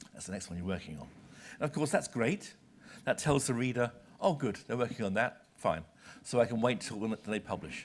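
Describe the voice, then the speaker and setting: A man with a British accent speaks at a medium pitch and a fairly quick pace, with long, frequent pauses and big swings in loudness. There is light background noise. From Britain. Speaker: senior journal publisher; visiting publisher lecturer. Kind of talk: lecture. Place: hall.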